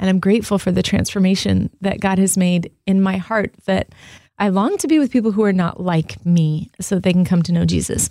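A woman with a dark, mellow tone speaks at a fairly quick pace and very even loudness, in a dry, close sound with no echo on a very clean recording with a silent background. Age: 50s. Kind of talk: casual chat.

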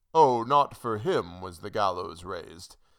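A man's put-on character voice, fairly low-pitched and fairly bright in tone, slow-paced with lively intonation

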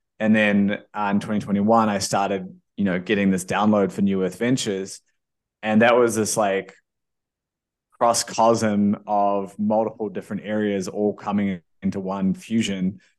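A man's fairly low, monotone voice with flat intonation and a New Zealand accent. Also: moderate pace, quiet background. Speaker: entrepreneur and investor. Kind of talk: interview.

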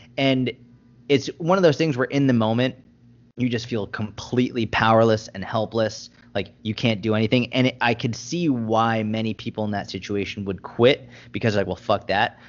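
A man talks at a moderate pace with an American accent. It is a normal speaking voice. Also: medium pitch for a man, ordinary pitch variation. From Boston, US. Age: 20s. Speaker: fitness and nutrition coach. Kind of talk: podcast interview.

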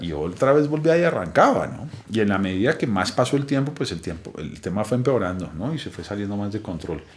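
A man with a fairly low pitch talks at a fairly quick pace with hardly any pauses. His pitch swings very widely and his loudness swings a lot. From Colombia, Bogotá. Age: 40s. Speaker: recovered addict, founder of a recovery project. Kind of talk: personal testimony. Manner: casual, slangy.

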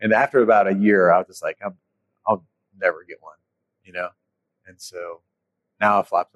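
A man with an American accent at a moderate pace, big swings in loudness, long, frequent pauses and a dry, close sound with no echo. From North Carolina. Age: 40s. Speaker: orthopedic surgeon. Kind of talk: casual interview. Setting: restaurant.

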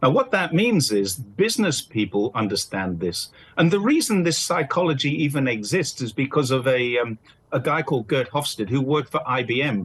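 Speaking with a British accent against a quiet background, a man sounds somewhat breathy as his pitch swings very widely. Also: fairly high pitch for a man, moderate pace. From UK. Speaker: commentator and freelance journalist. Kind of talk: interview.

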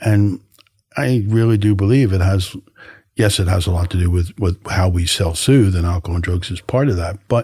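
At a moderate pace, the voice sounds somewhat breathy with a dark, mellow tone and ordinary pitch variation. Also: man. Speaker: health service counsellor. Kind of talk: casual interview chat.

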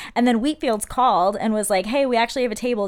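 A woman speaks in a normal speaking voice at a fairly high pitch with ordinary variation. Her pace is fairly quick, and the recording is very clean with a silent background. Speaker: podcast host. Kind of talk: casual chat. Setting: studio, empty room with echo.

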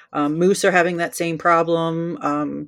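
Here a woman with an American accent has a very deep, low pitch. She speaks at a moderate pace. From New Jersey. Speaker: wildlife photographer. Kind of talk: casual interview.

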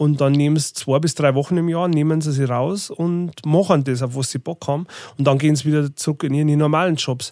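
With a Lower Bavarian accent, a man speaks at a fairly quick pace in a dark, mellow tone with fairly even intonation, recorded very cleanly with a dry, close sound, no echo and a silent background. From Bavarian Forest, Lower Bavaria. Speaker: tour manager and record label owner. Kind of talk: casual interview.

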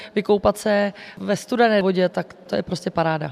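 A woman with a normal speaking voice talks at a medium pitch and moderate pace. Her intonation is fairly even, and the sound is dry and close with no echo. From Czechia, Vysočina region (Kamenice nad Lipou). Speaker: fire service press spokesperson. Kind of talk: radio interview.

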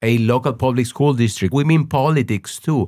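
Recorded very cleanly with a silent background, a man speaks with a Spanish accent and ordinary pitch variation. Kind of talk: interview conversation. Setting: studio in Los Angeles.

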